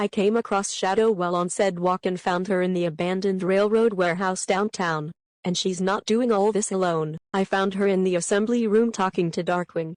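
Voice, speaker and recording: In a cartoonish character voice, a woman speaks at a medium pitch and a fairly quick pace with hardly any pauses. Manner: cocky, defiant.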